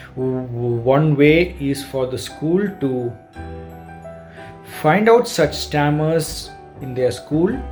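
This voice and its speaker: Music in the background behind a man's very slow, lively-toned speech with long, frequent pauses. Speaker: software engineer. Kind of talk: awareness message to camera.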